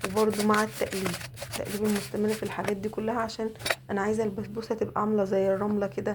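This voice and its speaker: With noticeable background noise behind her, a woman with an Egyptian accent speaks very fast at a medium pitch, her loudness very even and her intonation fairly even. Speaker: home cook. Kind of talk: cooking tutorial. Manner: casual, chatty.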